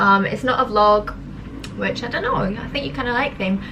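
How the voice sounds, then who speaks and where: Over noticeable background noise, a woman speaks in a Scottish accent with ordinary pitch variation. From Scotland, Edinburgh. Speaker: social media comedian. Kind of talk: casual Q and A vlog.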